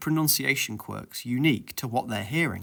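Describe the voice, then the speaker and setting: In a very clean recording with a silent background, a man with a northern English accent talks at a moderate pace in a medium pitch. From Yorkshire, northern England. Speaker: educational YouTuber on linguistics. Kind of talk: scripted explainer narration.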